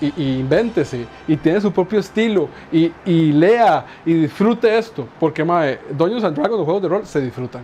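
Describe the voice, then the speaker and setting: Talking at a moderate pace, a man uses a high pitch and lively intonation. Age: 40s. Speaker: Dungeons & Dragons game master. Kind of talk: casual chat.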